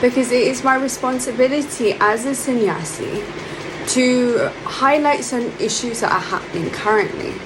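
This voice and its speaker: In a London accent, a woman with a high pitch speaks at a moderate pace with lively intonation, amid noticeable background noise and audible room echo. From London, England. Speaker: monk. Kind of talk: spiritual talk. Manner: hesitant, with filler words.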